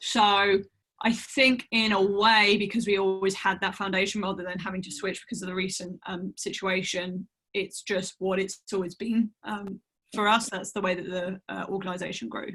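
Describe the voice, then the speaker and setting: With a British accent, a woman speaks at medium pitch and a moderate pace in a bright, sharp tone with monotone, flat intonation. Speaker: managing editor. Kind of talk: panel discussion webinar.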